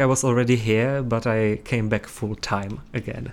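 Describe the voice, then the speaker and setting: A man with a Czech accent, medium pitch and a moderate pace. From Czech Republic. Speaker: student podcast host. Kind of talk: interview.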